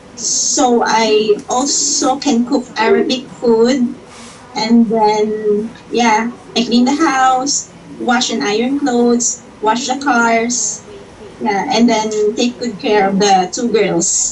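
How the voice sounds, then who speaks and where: Someone speaks at a very slow pace against noticeable background noise. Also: woman, fairly high pitch for a woman, ordinary pitch variation. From Philippines, Iloilo City. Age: 30s. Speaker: domestic helper job applicant. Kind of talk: job interview.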